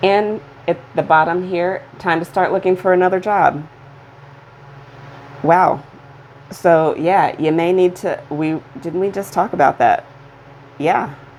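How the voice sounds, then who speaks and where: A woman speaks at a medium pitch and a fairly slow pace, with fairly even intonation, long and frequent pauses, and noticeable background noise. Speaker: tarot reader. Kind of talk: tarot reading. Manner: stutters; halting.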